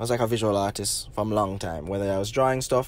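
A man speaks with a Jamaican accent. His pitch varies in an ordinary way. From Jamaica, Negril, Westmoreland. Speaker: filmmaker. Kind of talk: interview.

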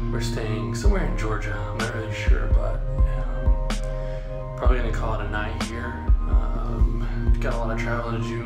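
A man keeps to a moderate pace while loud music carries on in the background. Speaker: vlogger. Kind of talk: casual vlog chat. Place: station. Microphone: phone near.

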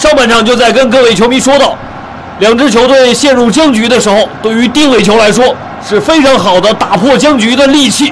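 A man speaks at a fairly quick pace in an extremely high pitch with a dramatic tone. Noticeable background noise can be heard. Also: ordinary pitch variation, very even loudness. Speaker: football commentator. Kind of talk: live match commentary, highlights voiceover. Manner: uses vivid idioms and dramatic exclamations.

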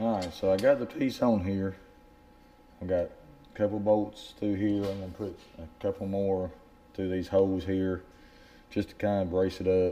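With a Southern US accent, a man talks at a moderate pace in a fairly low pitch and a dark, mellow tone. His intonation is flat and monotone, broken by long, frequent pauses. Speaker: fishing channel host. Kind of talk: DIY tutorial.

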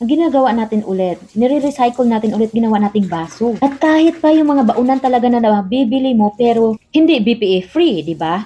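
This woman has an unremarkable speaking voice, pitched fairly high. She talks at a fairly quick pace with lively intonation and hardly any pauses. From Philippines. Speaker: overseas Filipino worker vlogger. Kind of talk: casual vlog monologue.

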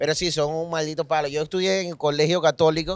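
The recording is very clean against a silent background. A man speaks very fast. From eastern Venezuela. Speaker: comedian. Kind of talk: casual chat. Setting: recorded on a beach trip.

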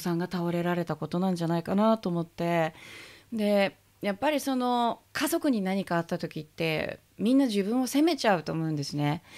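Lively in intonation, a woman speaks at a moderate pace against a quiet background. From Japan. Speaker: interviewer. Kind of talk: interview. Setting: in a pharmacy. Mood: warm, earnest, reflective. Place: shop. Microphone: studio mic.

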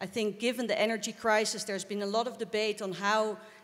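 The speaker has a Dutch accent and talks at a very fast pace. The intonation stays monotone and flat. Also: woman. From Netherlands. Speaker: politician, member of parliament; politician. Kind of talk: panel discussion. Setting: stage with audience. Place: stage. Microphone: handheld.

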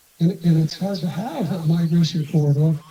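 Speaking at a moderate pace, a man with a high-pitched voice keeps his intonation fairly even. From Eastern Idaho. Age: 60s. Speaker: rancher. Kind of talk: public hearing testimony. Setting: council meeting.

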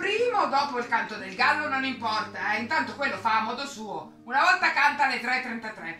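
Over faint music in the background and with audible room echo, a woman with a fairly high pitch and a bright, sharp tone speaks at a fairly quick pace with big pitch swings.

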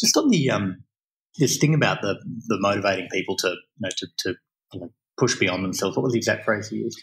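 A man with a fairly low pitch and a somewhat breathy voice talks at a very fast pace with ordinary pitch variation. Long, frequent pauses break up his speech. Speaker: podcast host. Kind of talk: casual interview chat. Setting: in person, Sydney.

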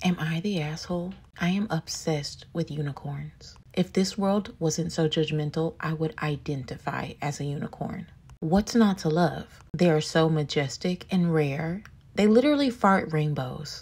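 A woman's very deep, low voice at a moderate pace, with noticeable background noise. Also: ordinary pitch variation. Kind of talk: comedic confession story to camera.

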